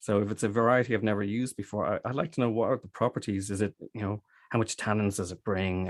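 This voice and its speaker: Very fast speech from a man with an Irish accent, fairly low pitch and fairly even intonation, on a very clean recording with a silent background. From Ireland, Dublin. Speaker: cider maker. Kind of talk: interview. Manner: halting.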